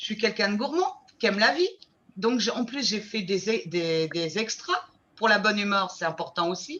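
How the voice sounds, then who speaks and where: Speaking at a moderate pace, a woman has an unremarkable speaking voice. Her medium pitch carries lively intonation. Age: 60s. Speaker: weight-loss program client giving testimonial. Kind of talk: testimony.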